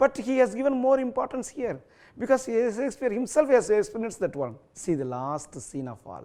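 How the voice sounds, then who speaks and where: A man's extremely high-pitched voice with a dark, mellow tone, very wide pitch swings and big swings in loudness, in a very clean recording with a silent background. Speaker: school English teacher. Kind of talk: lecture. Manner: code-switching English and Tamil.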